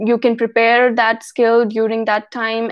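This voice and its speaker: This woman has an Indian accent and a fairly high pitch. She talks at a fairly slow pace against a quiet background. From India, Delhi-NCR. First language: Hindi. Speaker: YouTuber. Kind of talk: live Q&A.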